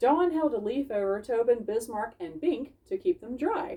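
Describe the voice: A woman speaks with lively intonation and a slightly husky edge. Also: fairly high pitch for a woman, moderate pace.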